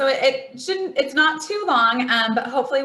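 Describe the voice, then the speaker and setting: The speaker is a woman with a loud voice. Her tone comes across bright and sharp. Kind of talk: presentation.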